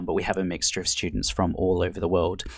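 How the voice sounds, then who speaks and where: Vocal fry marks a man's very deep, low pitch. The recording is very clean, with a silent background. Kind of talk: instructor introducing background.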